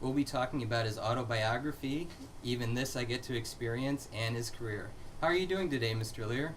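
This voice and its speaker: This man has a plain, everyday voice. Its pitch is medium. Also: ordinary pitch variation, fairly quick pace. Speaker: interview host. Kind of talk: interview host questions.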